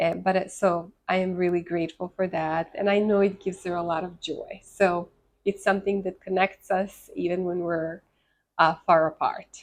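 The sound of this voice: Her pitch is fairly low and moves little. This woman talks at a moderate pace.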